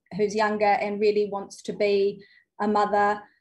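A woman with a New Zealand accent speaks at a moderate pace. Her medium-pitched voice is somewhat breathy. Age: 30s. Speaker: former school teacher. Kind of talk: call-in conversation.

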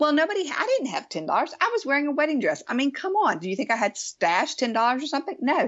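A woman talks at a very fast pace with hardly any pauses, her high pitch making very wide swings. Her tone is animated. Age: 50s. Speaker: lifestyle blogger and online show host. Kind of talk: interview. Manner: animated, laughs often.

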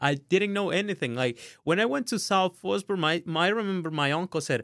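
A man's high voice in a Spanish accent at a moderate pace, with lively intonation. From Honduras. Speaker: student mentor. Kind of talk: interview. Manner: halting.

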